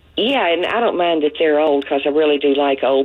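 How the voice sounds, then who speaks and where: Through noticeable background noise, a woman speaks at a fairly quick pace in a very deep, low pitch. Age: 70s. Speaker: caller. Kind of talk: call-in radio chat. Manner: halting.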